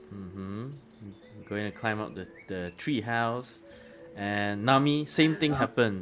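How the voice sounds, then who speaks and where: A man's fairly low voice over background music, fairly slow with long, frequent pauses, big swings in loudness and ordinary pitch variation. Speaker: game master. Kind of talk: tabletop roleplay narration. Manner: halting.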